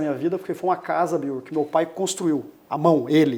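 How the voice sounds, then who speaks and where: Intonation stays fairly even in a voice with a dark, mellow tone. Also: man. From Brazil, Campo Grande, Mato Grosso do Sul. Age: 40s. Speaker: lawyer, bar association president. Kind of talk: interview.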